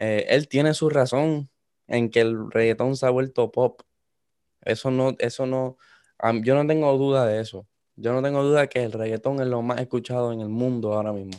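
In a very clean recording with a silent background, a man with a plain, everyday voice speaks at a moderate pace, his medium pitch held in fairly even intonation. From Puerto Rico, coastal town. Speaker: student. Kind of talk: casual chat.

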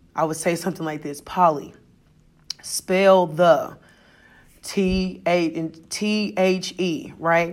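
With an American accent, a woman speaks at a very slow pace with long, frequent pauses, a fairly low pitch and ordinary pitch variation. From US Midwest. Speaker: teacher. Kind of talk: podcast monologue, reflective talk. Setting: recorded at school, announcements in background. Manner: loud, carries well.

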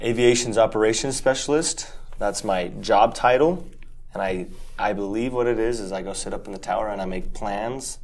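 A man with an American accent and a plain, everyday voice talks at a moderate pace with ordinary pitch variation. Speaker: state champion athlete, twin brother of a past guest. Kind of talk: casual chat. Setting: studio.

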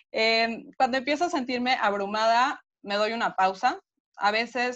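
In a Mexico City accent, a woman speaks with ordinary pitch variation. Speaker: nutritionist. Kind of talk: interview.

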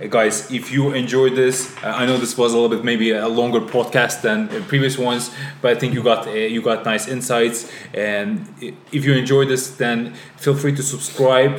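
A man speaks at a moderate pace and medium pitch with fairly even intonation, over noticeable background noise. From Azerbaijan. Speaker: podcast host. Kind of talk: casual interview conversation.

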